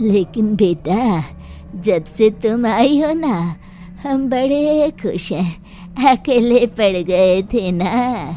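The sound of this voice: A female-sounding cartoonish character voice, fairly high-pitched, moves at a very slow pace over clear background noise.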